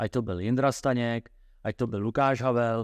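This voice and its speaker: A man with a normal speaking voice and medium pitch talks at a moderate pace with fairly even intonation, in a dry, close sound with no echo against a quiet background. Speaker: football coach. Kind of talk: interview.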